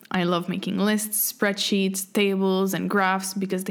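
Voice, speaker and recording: At a medium pitch, a woman's plain, everyday voice goes at a moderate speed. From French Canada. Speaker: podcast host. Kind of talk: scripted monologue.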